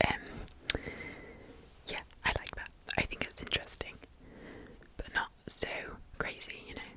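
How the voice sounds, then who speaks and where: Whispering at a fairly slow pace, a woman is heard through noticeable background noise. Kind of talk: ASMR whisper ramble, fashion commentary. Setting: close microphone with tapping sounds. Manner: whispered, soft-spoken, close-mic.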